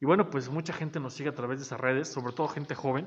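A man with a fairly high pitch and fairly even intonation. It's a plain, everyday voice. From Mexico, Zacatelco, Tlaxcala. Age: 30s. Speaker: aspiring local politician. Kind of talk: casual interview. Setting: studio.

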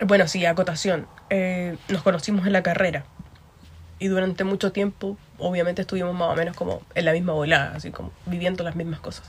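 Somewhat breathy and fairly low, a woman's voice stays monotone and flat. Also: fairly quick pace. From Concepción, Chile. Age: 20s. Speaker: podcast co-host. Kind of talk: casual chat.

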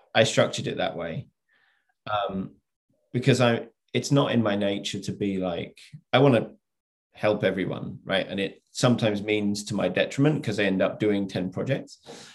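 A man speaks with a southern English accent. He leaves long, frequent pauses. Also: fairly low pitch for a man, ordinary pitch variation, moderate pace. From England (Oxford). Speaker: entrepreneur, former snowboarder. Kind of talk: interview.

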